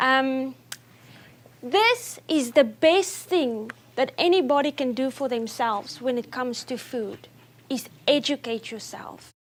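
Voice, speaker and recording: A woman with a non-native accent speaks at a high pitch. Her pace is fairly slow, with ordinary pitch variation. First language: not English. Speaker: nutrition speaker. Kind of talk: talk to an audience. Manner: speeds up when excited.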